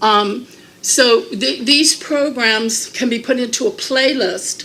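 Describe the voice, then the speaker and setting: Speaking very slowly, a woman uses lively intonation at a high pitch. Noticeable background noise is present. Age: 60s. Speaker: video producer and channel owner. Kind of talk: presentation to a group. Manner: halting.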